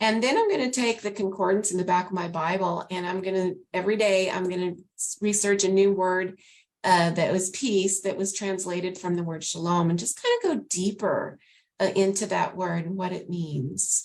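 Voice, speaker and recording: A woman with an American accent speaks in a normal speaking voice, her medium pitch carrying fairly even intonation at a moderate pace. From New Mexico, US. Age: 60s. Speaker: novelist. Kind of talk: interview. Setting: video call.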